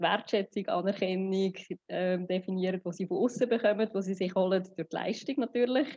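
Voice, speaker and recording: Speaking with a Swiss accent, a woman shows ordinary pitch variation. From Switzerland. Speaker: psychotherapist. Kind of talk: interview.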